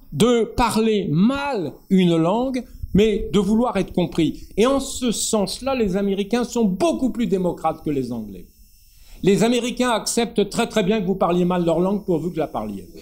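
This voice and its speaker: A man speaks at a fairly slow pace with lively intonation. His pitch is high. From northern France. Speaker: poet and essayist. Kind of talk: public talk with discussion.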